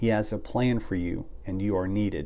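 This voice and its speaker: Through audible room echo, a man speaks at a fairly low pitch with a dark, mellow tone and ordinary pitch variation. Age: 50s. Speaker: ministry podcast host. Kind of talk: devotional monologue. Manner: reflective.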